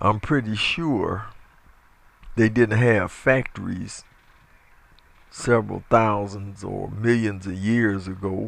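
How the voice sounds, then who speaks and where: At a very slow pace with long, frequent pauses, a man speaks at a fairly low pitch with fairly even intonation. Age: 60s. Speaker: evangelist. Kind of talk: opinion monologue. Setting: audio recording. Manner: halting.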